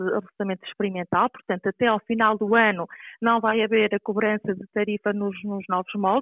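The delivery comes at a fairly quick pace in a monotone, flat intonation. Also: woman. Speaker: local councillor for environment. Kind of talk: interview. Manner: halting.

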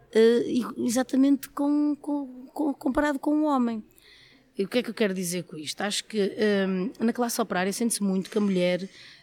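The recording is very clean, with a silent background. A woman talks with lively intonation. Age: 30s. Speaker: trade unionist in footwear industry. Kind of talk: interview.

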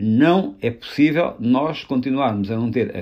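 Over a quiet background, a man's dark, mellow voice moves through very wide pitch swings. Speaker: politician. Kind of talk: political discussion. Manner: halting.

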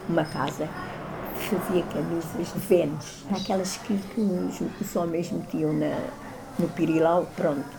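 Noticeable background noise and audible room echo fill the recording. The woman's intonation is fairly even. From Lisbon, Portugal. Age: 80s. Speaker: elderly resident recalling the past. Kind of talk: interview testimony.

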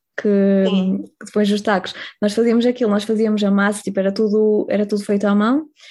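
In a plain, everyday voice, a woman talks at a medium pitch. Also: very even loudness. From northern Portugal, Ponte de Lima. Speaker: marine biology graduate, former working-holiday traveller. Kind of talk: casual interview.

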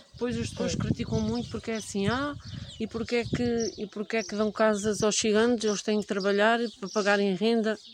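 Noticeable background noise sits behind a woman's fairly high voice. She speaks fairly quickly with fairly even intonation. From Portugal, Ribatejo (Alpiarça). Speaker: Roma community member, mother. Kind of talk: interview testimony. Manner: halting.

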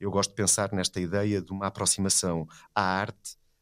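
At a moderate pace, a man speaks with a very deep, low pitch in a dry, close sound with no echo. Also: very clean recording, silent background. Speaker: philosophy professor and art critic. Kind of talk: conversational interview.

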